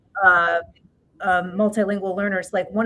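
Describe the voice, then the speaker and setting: In a New York accent, a woman talks at a medium pitch with ordinary pitch variation. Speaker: education expert. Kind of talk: interview. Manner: halting.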